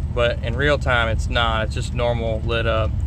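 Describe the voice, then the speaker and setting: Noticeable noise sits behind a dry recording that carries no echo. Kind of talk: casual vlog chat. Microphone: phone near.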